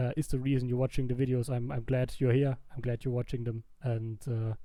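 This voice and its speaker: In a non-native accent, a man talks at a fairly quick pace with a dark, mellow tone and monotone, flat intonation. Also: medium pitch for a man. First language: not English. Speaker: YouTuber, gaming video creator. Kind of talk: casual commentary over gameplay. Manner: halting, frequent fillers and restarts.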